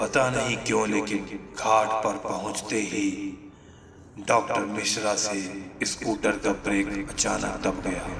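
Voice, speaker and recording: A man's fairly low, put-on character voice at a fairly slow pace, with slight echo and clear background noise. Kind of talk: horror narration. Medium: audio drama. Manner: suspenseful.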